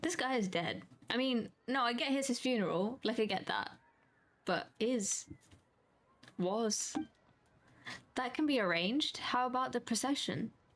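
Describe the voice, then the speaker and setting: With a British accent, a woman speaks at a moderate pace and a high pitch for a woman, using ordinary pitch variation and very even loudness, broken by long, frequent pauses. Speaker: vtuber streamer. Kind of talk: gaming stream, reading dialogue aloud.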